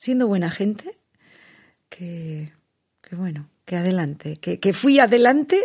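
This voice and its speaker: A woman speaks with lively intonation and a somewhat breathy voice. The background is quiet. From Basque Country, Spain (Vitoria-Gasteiz). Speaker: poet and writer. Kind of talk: interview. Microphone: muffled by face mask.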